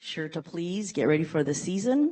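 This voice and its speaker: A loud woman with a fairly low pitch, very wide pitch swings and a moderate pace. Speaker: chorus group past president. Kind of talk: public comment at meeting. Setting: county board meeting.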